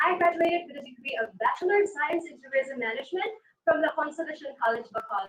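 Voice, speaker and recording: The woman's voice is high and lively in intonation. She speaks at a very fast pace. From Philippines, Negros Occidental. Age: 20s. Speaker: pageant contestant. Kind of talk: pageant self-introduction.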